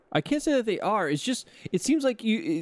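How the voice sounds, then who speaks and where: The sound is dry and close, with no echo. The speaker uses a Californian accent, very wide pitch swings and a moderate pace. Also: man. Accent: California. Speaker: podcast co-host. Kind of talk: casual chat.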